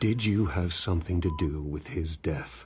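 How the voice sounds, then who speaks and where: A man puts on a character voice, pitched very deep and low, with ordinary pitch variation. The background is quiet. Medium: video game. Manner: restrained, stern.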